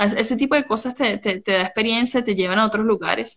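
A woman of medium pitch uses fairly even intonation in an ordinary speaking voice. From Venezuela. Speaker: pharmaceutical chemist. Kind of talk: casual interview. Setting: Instagram live video call.

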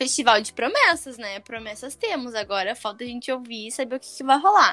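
A woman's raised, projected voice, high-pitched, with lively intonation and a moderate pace. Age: 20s. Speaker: podcast co-host. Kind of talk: casual chat. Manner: animated.

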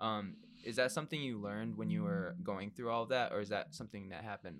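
Talking at a very fast pace, a man with a fairly low pitch shows very wide pitch swings and vocal fry. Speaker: podcast host. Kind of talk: casual interview chat.

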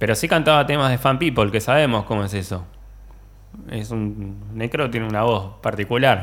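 At a moderate pace, a man talks with a medium pitch, ordinary pitch variation and vocal fry. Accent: Rioplatense. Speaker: musician and computer technician. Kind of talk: casual chat. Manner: halting, repeats words.

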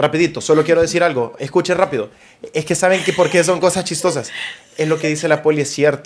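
This man talks very fast, his fairly high voice moving in a fairly even intonation. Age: 20s. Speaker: podcast host and content creator. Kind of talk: casual chat. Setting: home studio.

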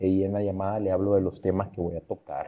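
With a normal speaking voice, a man talks at a fairly quick pace in a fairly low pitch. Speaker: creative agency director. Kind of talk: casual interview.

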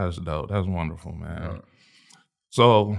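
A man's fairly low-pitched voice, a normal speaking voice, at a moderate pace with fairly even intonation. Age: 30s. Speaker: podcast host. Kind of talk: casual interview chat.

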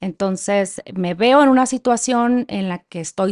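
An unremarkable speaking voice, a woman's at medium pitch, comes at a fairly slow pace with ordinary pitch variation, a dry, close sound with no echo and a quiet background. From Mexico, Sinaloa (Culiacán). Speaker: former public official, women's rights advocate. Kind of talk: personal testimony in interview.

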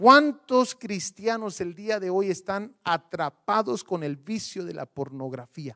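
A man with a high pitch speaks in a raised, projected voice at a very slow pace with hardly any pauses, very wide pitch swings and big swings in loudness, the sound dry and close with no echo. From Guatemala. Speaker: pastor. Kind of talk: sermon.

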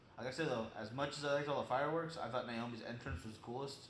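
Talking at a very fast pace with ordinary pitch variation, a man is heard through noticeable background noise. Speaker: co-host. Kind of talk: casual chat.

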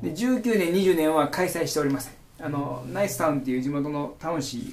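Talking at a fairly quick pace with a Kagawa accent, a man uses lively intonation amid audible room echo. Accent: Sanuki (Kagawa) dialect. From Kagawa, Japan (Kotohira). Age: 40s. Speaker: udon shop owner. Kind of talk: casual interview.

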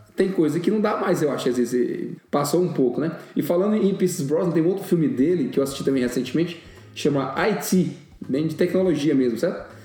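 Fairly high male voice at a fairly quick pace, with ordinary pitch variation, audible room echo and noticeable background noise. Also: very even loudness. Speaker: podcast co-host. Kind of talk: casual chat.

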